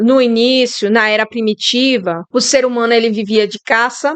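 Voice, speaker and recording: With a strong Bahian accent, the speaker talks at a fairly slow pace and with fairly even intonation. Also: woman. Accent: strong Bahian Brazilian Portuguese. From Brazil, Bahia. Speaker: YouTuber sharing reflections. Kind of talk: casual monologue. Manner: informal, hesitant.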